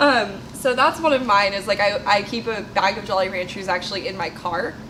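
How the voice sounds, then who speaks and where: A woman at a medium pitch and fairly quick pace, with ordinary pitch variation and noticeable background noise. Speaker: video podcast co-host. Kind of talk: casual chat.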